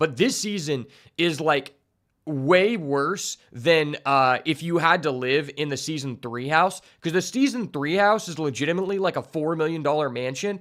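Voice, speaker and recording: In a plain, everyday voice, a man speaks at a moderate pace with a fairly high pitch and ordinary pitch variation, on a very clean recording with a silent background. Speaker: streamer reacting to a show. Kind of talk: reaction commentary. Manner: casual with many fillers.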